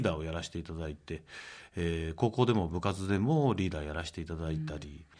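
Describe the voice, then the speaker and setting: Loudness rises and falls in big swings at a fairly quick pace. The background is quiet. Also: man. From Gunma, Japan. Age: 50s. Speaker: company president. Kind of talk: radio interview. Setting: studio.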